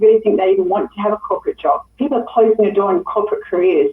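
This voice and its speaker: With lively intonation, a woman speaks in a plain, everyday voice pitched fairly high. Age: 60s. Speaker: network marketing presenter. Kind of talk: sales pitch.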